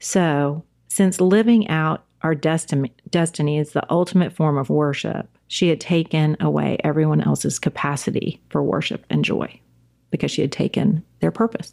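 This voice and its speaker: This woman has a very deep, low pitch and a dark, mellow tone, with a slight Southern US accent. Her loudness stays very even while her pitch varies in an ordinary way. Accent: Southern US, slight drawl. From South Carolina, US South. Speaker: church women's ministry leader, former attorney. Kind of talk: casual podcast conversation.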